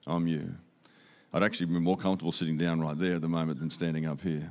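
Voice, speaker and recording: In an Australian accent, a man speaks with a very deep, low pitch on a very clean recording with a silent background. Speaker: visiting speaker. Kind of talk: sermon. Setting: church.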